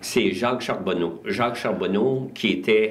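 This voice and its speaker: A man speaks with ordinary pitch variation, his voice carrying an audible room echo. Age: 70s. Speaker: community club volunteer. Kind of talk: interview.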